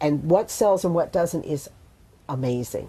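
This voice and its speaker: The voice has a dark, mellow tone and moves at a moderate pace with an American accent. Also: woman. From US Pacific Northwest (Bellingham, Washington). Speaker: full-time RVer. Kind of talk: interview.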